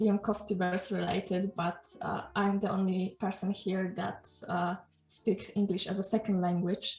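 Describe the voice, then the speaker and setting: Over noticeable background noise, a woman with a Polish accent speaks at a medium pitch and a fairly slow pace in a monotone, flat intonation. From Poland. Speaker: YouTuber, panel host. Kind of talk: panel discussion. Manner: halting.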